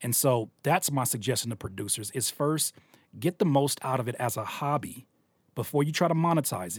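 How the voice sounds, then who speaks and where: The voice is somewhat breathy, with lively intonation. It moves along at a fairly quick pace. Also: man, medium pitch for a man. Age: 30s. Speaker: music producer and rapper. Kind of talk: casual interview. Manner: halting.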